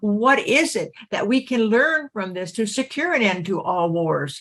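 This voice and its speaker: It is a plain, everyday voice with lively intonation. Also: woman. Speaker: podcast host. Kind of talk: podcast interview.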